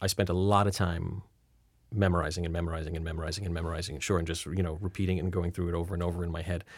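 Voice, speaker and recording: In a very clean recording with a silent background, a man with a very deep, low pitch and a somewhat breathy voice talks very fast in a flat monotone. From Rhode Island. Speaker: actor. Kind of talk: interview.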